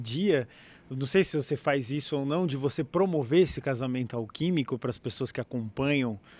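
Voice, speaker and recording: On a very clean recording with a silent background, a man talks at a fairly quick pace, his fairly high pitch showing ordinary variation. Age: 40s. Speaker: podcast host. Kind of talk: casual interview chat. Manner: animated.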